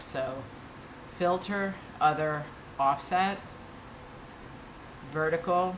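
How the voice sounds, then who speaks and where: The speech carries audible room echo and noticeable background noise, with ordinary pitch variation. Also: woman. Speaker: art tutorial instructor. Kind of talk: tutorial. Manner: casual, with fillers.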